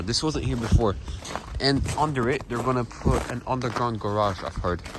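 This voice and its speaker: A man speaks with a Polish accent at a moderate pace. Noticeable background noise runs underneath. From Poland, Kalisz area. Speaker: travel vlogger. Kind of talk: walking vlog narration. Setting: outdoors, walking in winter city. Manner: casual, halting.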